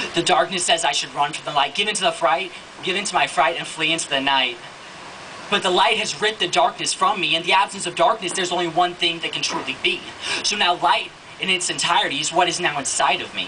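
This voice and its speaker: A man speaks at a very fast pace in a high voice, his pitch varying in an ordinary way over light background noise. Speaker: spoken word poet. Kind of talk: spoken word poetry performance. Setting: live event. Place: stage. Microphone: handheld.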